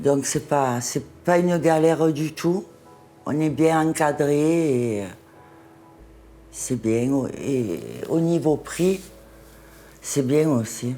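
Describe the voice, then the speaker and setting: A woman's very deep, low voice at a very slow pace, with long, frequent pauses and music in the background. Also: ordinary pitch variation. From Marseille, France. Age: 60s. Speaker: cosmetic surgery patient. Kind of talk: interview answer.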